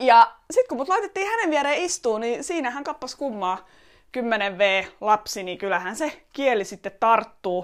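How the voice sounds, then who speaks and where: A woman with an Estonian accent speaks at a very slow pace and a high pitch, with very wide pitch swings and big swings in loudness. The recording is very clean, with a silent background. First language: Estonian (speaking Finnish). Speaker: podcaster and entrepreneur. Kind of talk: personal monologue. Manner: hesitant, many fillers and repetitions.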